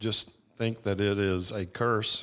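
Recorded very cleanly against a silent background, a man with a Georgia accent speaks at a fairly low pitch with fairly even intonation. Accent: Southern American (Georgia). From Georgia, US South. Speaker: attorney. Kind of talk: radio interview.

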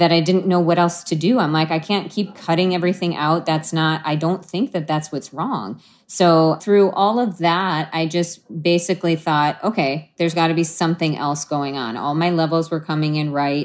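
In a plain, everyday voice, a woman speaks at a moderate pace and a fairly low pitch, with ordinary pitch variation and hardly any pauses. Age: 40s. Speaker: patient. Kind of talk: personal testimony in interview.

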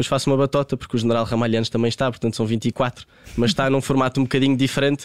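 An ordinary speaking voice from a man at a medium pitch, with fairly even intonation, in a dry, close sound with no echo. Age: 20s. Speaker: football coach and commentator. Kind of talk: interview.

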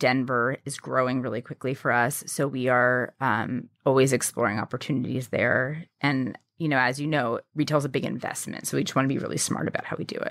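With an American accent, a woman with a very deep, low voice talks at a fairly quick pace, with hardly any pauses and fairly even intonation. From New York City. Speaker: fashion company founder. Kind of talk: interview.

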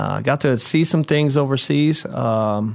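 A man speaks with a Midwestern American accent. His pitch varies in an ordinary way. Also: quiet background. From Indiana. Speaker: Marine veteran, mental health worker. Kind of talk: interview.

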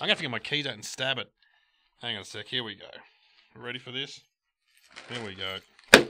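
A man with an Australian accent and a bright, sharp tone, at a fairly quick pace broken by long, frequent pauses. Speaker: podcast co-host. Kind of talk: casual banter.

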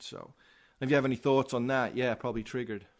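A man speaks with a strong Liverpool accent. The background is quiet. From Liverpool, England. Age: 40s. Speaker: former pro skateboarder. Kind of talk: testimony. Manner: animated.

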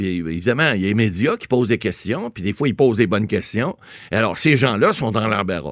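At a fairly quick pace, a man talks with lively intonation and a medium pitch. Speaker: lawyer, legal commentator. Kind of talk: casual radio interview. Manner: halting, with many repeated words.

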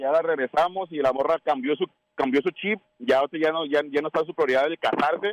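An ordinary speaking voice comes from a man with a fairly high pitch and fairly even intonation, talking at a fairly quick pace in a dry, close sound with no echo. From Guadalajara, Mexico. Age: 30s. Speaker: caller. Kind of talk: casual chat.

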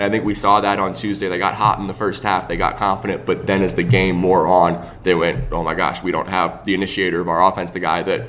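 Noticeable background noise sits behind this man. He speaks at a fairly quick pace with a very deep, low pitch. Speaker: sports journalist. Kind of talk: sports talk radio interview. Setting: live at an arena.

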